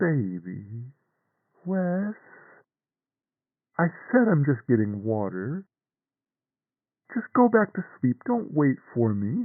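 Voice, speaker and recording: Putting on a character voice, a man speaks at a very slow pace and fairly high pitch, with very wide pitch swings and long, frequent pauses. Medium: audio drama. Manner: calm, gentle, reassuring.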